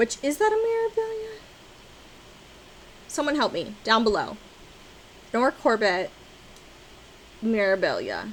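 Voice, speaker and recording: A woman's animated, high-pitched voice with very wide pitch swings, a fairly slow pace, and long, frequent pauses. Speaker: cross-stitch vlogger. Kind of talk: casual chat.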